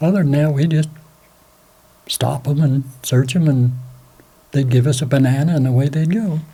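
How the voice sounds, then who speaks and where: Speaking at a moderate pace with an American accent, a man with a fairly high pitch and a somewhat breathy voice keeps his loudness very even and his intonation fairly even, taking long, frequent pauses. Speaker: war veteran. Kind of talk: interview, recounting memories. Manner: halting.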